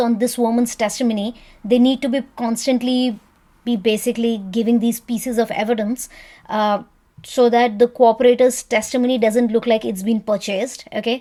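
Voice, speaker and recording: Woman's fairly high voice, dark and mellow in tone, with monotone, flat intonation at a moderate pace. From India. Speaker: lawyer commenting on a trial. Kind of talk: reaction commentary.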